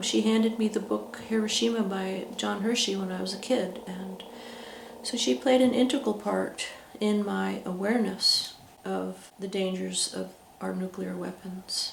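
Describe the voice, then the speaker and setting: A woman talks at a fairly slow pace. Her voice carries audible room echo over noticeable background noise. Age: 60s. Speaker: peace activist. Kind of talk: interview. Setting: indoors at a residence. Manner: halting, with many fillers.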